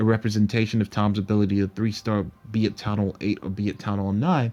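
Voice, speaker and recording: The voice has a dark, mellow tone and monotone, flat intonation, moving at a fairly quick pace. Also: man. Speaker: gaming YouTuber. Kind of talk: casual vlog update. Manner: casual, filler-heavy.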